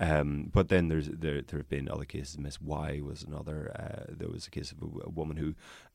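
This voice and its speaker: A very deep, low-pitched man with vocal fry, in a Northern Irish accent. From Northern Ireland. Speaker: barrister and podcast host. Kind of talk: casual interview chat. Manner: wry, humorous, hesitant with many fillers.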